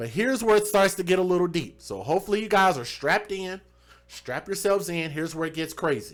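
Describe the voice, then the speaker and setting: Here a man talks at a very fast pace with a Southern US accent. His high pitch shows ordinary variation. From US South. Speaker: true crime livestream host. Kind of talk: live stream commentary.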